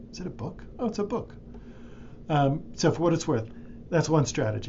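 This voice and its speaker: Lively intonation and vocal fry mark this man's speech, delivered at a moderate pace in a fairly high pitch. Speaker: librarian or instructor. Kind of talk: screen-recorded tutorial. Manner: casual, with fillers.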